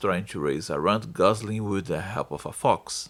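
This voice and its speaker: The talker is a man with a non-native accent. He keeps a moderate speed. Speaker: film reviewer. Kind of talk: online film review narration.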